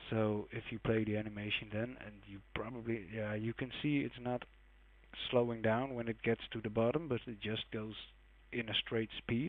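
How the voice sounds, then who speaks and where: A man speaks with a non-native accent at medium pitch. His intonation is fairly even. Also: moderate pace. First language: not English. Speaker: game modding tutorial maker. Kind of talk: tutorial. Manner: casual, hesitant with fillers.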